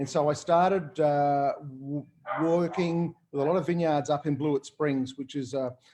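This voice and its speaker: A man with an Australian accent speaks in a fairly high pitch with a dark, mellow tone. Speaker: winemaker. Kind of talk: casual panel talk. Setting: video call. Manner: fast; animated.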